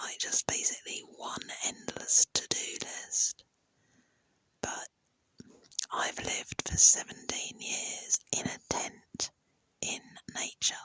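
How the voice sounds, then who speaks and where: A woman whispers at a very slow pace, leaving long, frequent pauses, in a dry, close sound with no echo. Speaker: YouTube creator. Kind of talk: casual monologue. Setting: in bed at night. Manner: soft-spoken.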